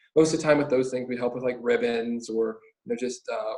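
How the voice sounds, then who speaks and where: This man has a plain, everyday voice, medium in pitch, with fairly even intonation. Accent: American. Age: young. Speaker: college student, youth organization officer. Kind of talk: casual podcast interview.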